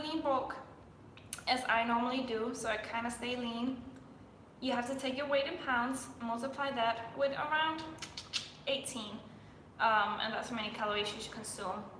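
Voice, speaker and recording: With long, frequent pauses, a woman with a Danish accent speaks at a moderate pace and high pitch, her intonation fairly even, amid noticeable background noise and audible room echo. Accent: Danish-accented English, self-described weird. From Denmark. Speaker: fitness influencer. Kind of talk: live stream Q&A. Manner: casual, chatty.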